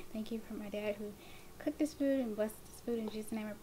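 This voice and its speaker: The speech comes at a very fast pace with fairly even intonation. Light background noise can be heard. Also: woman. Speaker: mukbang vlogger. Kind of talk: casual vlog chat. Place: kitchen. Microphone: camera far.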